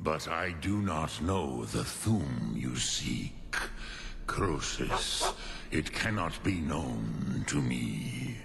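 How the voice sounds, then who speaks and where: Using a put-on character voice, a man speaks at a very slow pace. Loud background noise runs underneath. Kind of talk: archaic mythic speech with dragon-tongue words. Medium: video game. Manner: slow, grave, musing.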